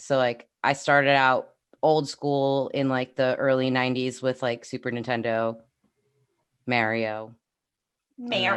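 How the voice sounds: Delivered in a New York accent, the speech runs at a fairly slow pace with long, frequent pauses.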